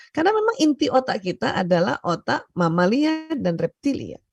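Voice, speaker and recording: Soft-spoken and moderate in pace, a woman is heard against a quiet background with a dry, close sound and no echo. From Indonesia, Bugis Makassar heritage, Palembang mother. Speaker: doctor and seminar speaker. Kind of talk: seminar lecture. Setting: online video seminar. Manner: loud, hard for her to speak softly; often laughs.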